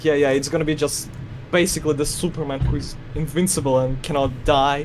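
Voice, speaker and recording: Over noticeable background noise and audible room echo, a man with a Russian accent speaks at a fairly quick pace in a fairly high pitch with monotone, flat intonation. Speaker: animation collaborator. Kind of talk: casual chat.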